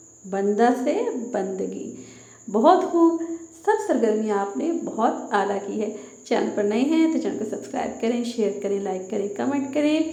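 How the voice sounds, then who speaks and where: With noticeable background noise and audible room echo, a woman speaks at a fairly high pitch that swings very widely. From Pakistan. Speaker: teacher. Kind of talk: lesson for children.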